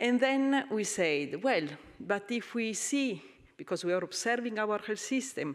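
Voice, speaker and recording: A woman with an Italian accent talks at a moderate pace with lively intonation. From Italy. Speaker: health agency representative. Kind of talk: panel presentation. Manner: halting.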